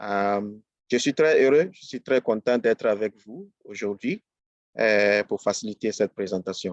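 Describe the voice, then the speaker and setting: Spoken in an English accent at a fairly slow pace with ordinary pitch variation, the voice has big swings in loudness. The background is quiet. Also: man, fairly low pitch for a man, dry, close sound with no echo. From Ghana. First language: English (speaking French). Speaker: business trainer. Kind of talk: webinar presentation. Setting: live online webinar. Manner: hesitant, many fillers.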